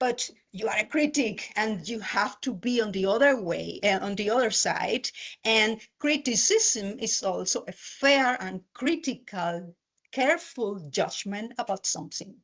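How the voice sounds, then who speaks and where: With a Spanish accent, a woman talks at a fairly slow pace and fairly high pitch, her intonation lively. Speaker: university lecturer. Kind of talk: conference talk. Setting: lecture hall with audience, hybrid event. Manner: halting.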